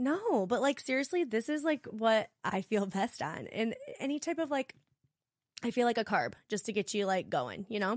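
A woman with an ordinary speaking voice, fairly high pitch, lively intonation and moderate pace, in a dry, close sound with no echo on a very clean recording with a silent background. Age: 30s. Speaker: personal trainer. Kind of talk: casual chat.

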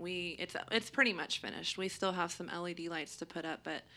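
On a very clean recording with a silent background, a woman with a normal speaking voice speaks at a fairly low pitch. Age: 30s. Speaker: podcast co-host. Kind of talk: casual chat.

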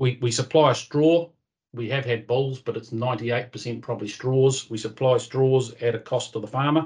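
A man with a New Zealand accent speaks at a moderate pace in a medium-pitched, somewhat breathy voice. His intonation stays fairly even. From New Zealand, North Island. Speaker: livestock breeding coordinator, former dairy farmer. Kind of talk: interview.

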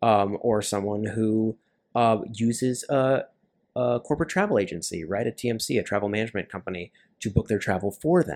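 A man speaks in an unremarkable speaking voice with a General American accent, at medium pitch with ordinary pitch variation and a moderate pace. The recording is very clean, with a silent background. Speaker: traveler and aviation sales professional. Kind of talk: casual chat.

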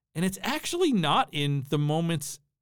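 A man with an American accent talks at a moderate pace, recorded very cleanly against a silent background. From US Midwest, southern Minnesota. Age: 40s. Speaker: history professor. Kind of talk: casual conversational interview.

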